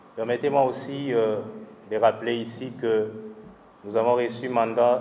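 A man's medium-pitched voice, flat and monotone, at a very slow pace. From DR Congo. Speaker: party youth leader. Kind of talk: speech. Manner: halting. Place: hall. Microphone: handheld.

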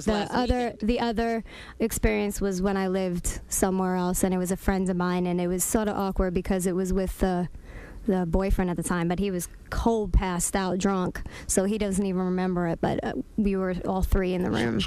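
The woman's tone is dark and mellow, with fairly even intonation. She speaks at a moderate pace, and the sound is dry with no echo. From new to New York. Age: 30s. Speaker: radio show guest. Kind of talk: interview answer. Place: studio. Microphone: studio mic.

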